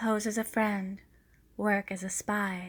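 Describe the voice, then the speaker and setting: Soft-spoken and gentle in tone, a woman talks at a medium pitch in a flat monotone, in a very clean recording with a silent background. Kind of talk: ASMR book reading for sleep and relaxation. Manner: soft, gentle.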